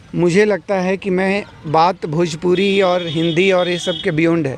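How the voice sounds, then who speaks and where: The speaker has a Bihari accent and fairly even intonation, with noticeable background noise behind the voice. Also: man. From Bihar, Gopalganj. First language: Bhojpuri (speaking Hindi). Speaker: film actor. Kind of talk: interview. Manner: halting, many fillers.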